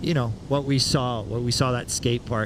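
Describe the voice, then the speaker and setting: A man at medium pitch, moderate pace and monotone, flat intonation, with noticeable background noise. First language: Spanish. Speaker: surf commentator. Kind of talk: live commentary.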